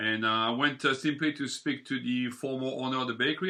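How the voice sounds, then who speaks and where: Talking at a very fast pace, a man uses a medium pitch, ordinary pitch variation and a bright, sharp tone. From southern France. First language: French. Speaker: bakery owner. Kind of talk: interview.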